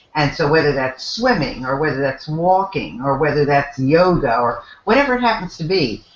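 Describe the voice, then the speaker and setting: A woman's very deep, low voice with very wide pitch swings, at a moderate pace with hardly any pauses, over noticeable background noise. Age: 70s. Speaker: motivational speaker and business coach. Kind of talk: interview.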